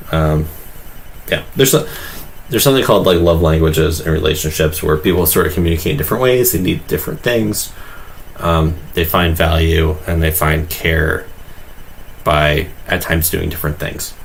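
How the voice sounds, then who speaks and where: Over noticeable background noise and audible room echo, a man talks with a very deep, low pitch. His pace is moderate, with long, frequent pauses. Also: ordinary pitch variation. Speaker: livestreamer drawing and commenting on videos. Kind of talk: casual livestream commentary. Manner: hesitant, many fillers.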